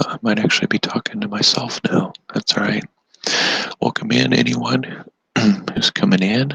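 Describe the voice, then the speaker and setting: Soft-spoken, a man talks at a moderate pace with long, frequent pauses, in a dry, close sound with no echo. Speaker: DIY YouTuber. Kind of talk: casual live stream chat. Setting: indoors at home, live stream.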